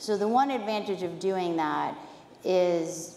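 A woman with a Boston accent speaks with ordinary pitch variation, with audible room echo and light background noise. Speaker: biotech chief scientific officer; speaker. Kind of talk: conference panel discussion. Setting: stage with audience. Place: stage.

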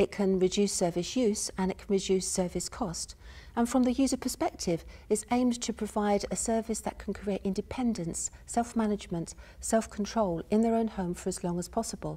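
Soft-spoken, somewhat breathy speech at a moderate pace. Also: woman, ordinary pitch variation. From UK. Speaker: university professor, health and social care researcher; speaker. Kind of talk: academic lecture / conference presentation. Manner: soft-spoken, measured. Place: stage.

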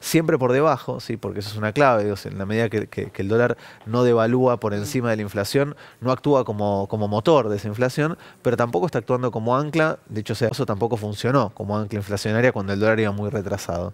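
A man speaks at a very fast pace. His pitch variation is ordinary. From Argentina. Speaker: economist; guest. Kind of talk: news interview. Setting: TV studio. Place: studio. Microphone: headset.

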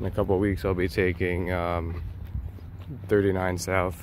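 The intonation is monotone and flat. Noticeable background noise accompanies a dry sound with no echo. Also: man. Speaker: student vlogger. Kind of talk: casual vlog chat. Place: street. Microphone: phone near.

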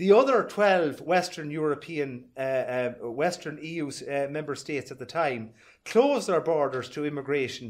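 Speaking with an Irish accent, a man keeps a moderate pace and ordinary pitch variation. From Ireland. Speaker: party speaker. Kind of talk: rally speech. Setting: party meeting, live audience. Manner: formal. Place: hall. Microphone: camera far.

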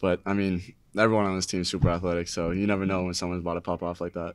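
Against a quiet background, a man talks very fast in a very deep, low voice with monotone, flat intonation. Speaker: college basketball player. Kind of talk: press conference. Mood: relaxed, smiling after a win. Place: meeting room. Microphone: podium.

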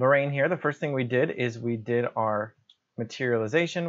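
Talking at a moderate pace, a man lets his pitch vary in an ordinary way. Behind him, all is quiet. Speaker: gamer explaining play. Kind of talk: commentary. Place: home room.

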